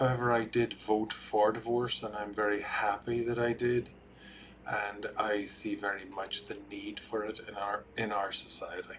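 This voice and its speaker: With an Irish accent, a man talks at a fairly slow pace in a fairly low pitch. His intonation is monotone and flat. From Ireland. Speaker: marriage and family therapist. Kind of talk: talking-head explainer video.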